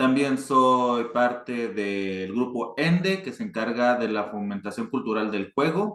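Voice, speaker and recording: At a fairly slow pace, a man speaks with lively intonation and medium pitch. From northern Mexico, Chihuahua. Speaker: board game designer. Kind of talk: panel talk. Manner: hesitant, many fillers.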